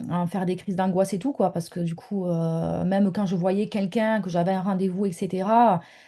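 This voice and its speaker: Hardly pausing, a woman talks at a fairly quick pace at medium pitch. Her intonation stays fairly even. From southern France. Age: 30s. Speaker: online business mentor. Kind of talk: interview testimony. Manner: halting, many hesitations.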